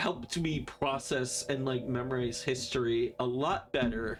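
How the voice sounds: This is a natural reading voice. The pitch variation is ordinary.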